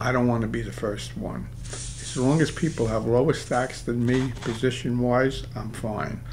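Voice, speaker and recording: A man with a strong Brooklyn accent at a fairly slow pace, hardly any pauses, and audible room echo. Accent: Brooklyn accent, still strong. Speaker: poker coach. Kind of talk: game commentary tutorial. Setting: studio. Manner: casual, with many fillers.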